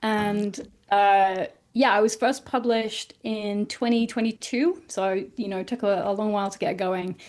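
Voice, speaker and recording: A woman with an English accent at a medium pitch, ordinary pitch variation and a moderate pace. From northern England, South Yorkshire. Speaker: author. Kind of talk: interview.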